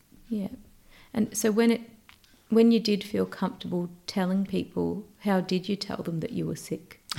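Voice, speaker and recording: Pausing long and often, a woman with vocal fry and a dark, mellow tone talks at medium pitch and a moderate pace, her intonation fairly even. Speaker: podcast host. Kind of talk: interview.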